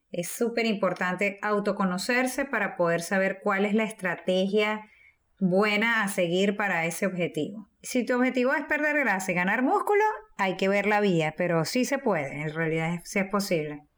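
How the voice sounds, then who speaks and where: A woman uses a normal speaking voice at a medium pitch and a moderate pace, with very even loudness. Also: lively intonation. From Venezuela. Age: 40s. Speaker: teacher and fitness podcast co-host. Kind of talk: casual chat.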